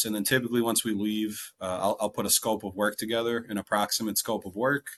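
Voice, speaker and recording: Against a quiet background, a man with a slight Wisconsin accent speaks at a moderate pace in a fairly low pitch with monotone, flat intonation. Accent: slight local Wisconsin. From Wisconsin, US. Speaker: real estate investor. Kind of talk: interview.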